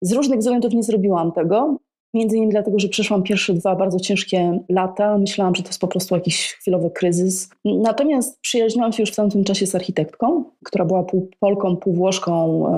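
A woman speaks at a fairly quick pace with hardly any pauses, her medium-pitched voice dark and mellow, with ordinary pitch variation and very even loudness. The recording is very clean, with a silent background. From Poland, Tricity (Gdańsk area). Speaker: neuroscience-in-architecture expert. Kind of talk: interview.

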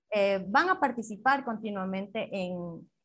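A woman speaks in an unremarkable speaking voice at a fairly slow pace. Her intonation is lively. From Ecuador, Riobamba. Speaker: constitutional lawyer. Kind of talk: interview. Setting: internet call.

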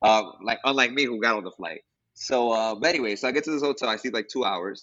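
This man speaks at a very fast pace. His pitch is medium, with ordinary variation. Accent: New York. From New York City. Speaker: teacher. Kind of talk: casual interview chat. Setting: call.

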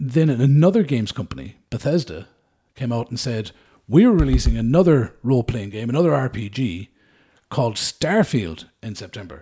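A man with an Irish accent speaks at a moderate pace in a medium pitch, his tone dark, mellow and somewhat breathy. His pitch swings very widely and his loudness shifts a lot, over a silent background in a very clean recording. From Ireland. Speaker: podcast host. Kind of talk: casual chat.

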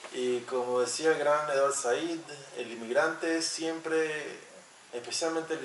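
A man talks at a fairly slow pace with fairly even intonation. Noticeable background noise and audible room echo fill the recording. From Panama. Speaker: sociologist. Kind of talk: interview.

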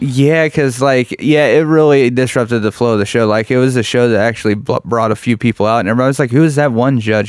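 With a Midwestern US accent, a man at medium pitch talks at a very fast pace with hardly any pauses, very even loudness and ordinary pitch variation. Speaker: stand-up comedian. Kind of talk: casual chat. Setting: studio.

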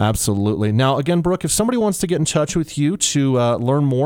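Intonation rises and falls in a lively way. The delivery is very fast. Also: man. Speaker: radio host. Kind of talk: radio show patter. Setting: radio studio. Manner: polished, upbeat broadcaster delivery.

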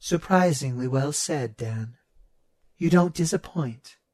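A put-on character voice at a fairly slow pace. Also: man, fairly high pitch for a man. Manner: calm, measured, precise.

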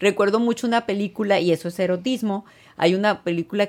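Speaking at a fairly quick pace with ordinary pitch variation, a woman has an unremarkable speaking voice. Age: 50s. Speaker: gynecologist and sex therapist. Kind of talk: casual interview.

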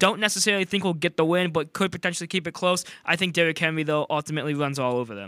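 Very fast and bright, a man speaks with an American accent in a sharp tone. The sound is dry and close with no echo. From US Midwest, St. Louis. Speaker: college student guest co-host. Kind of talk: casual sports talk.

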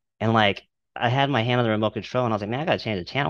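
A man with an American accent speaks at fairly low pitch with fairly even intonation, the sound dry and close with no echo against a quiet background. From Texas, Dallas-Fort Worth. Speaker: clothing brand owner. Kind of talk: casual interview chat.

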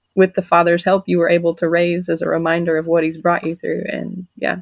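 A woman with a plain, everyday voice talks at a fairly quick pace in a fairly low pitch. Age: 30s. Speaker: homeschooling mother sharing testimony. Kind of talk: testimony.

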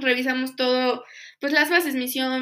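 In a very clean recording with a silent background, a woman uses a raised, projected voice that is high-pitched, with a bright, sharp tone. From Mexico, Pachuca. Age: 20s. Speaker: foundation volunteer. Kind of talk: interview testimony.

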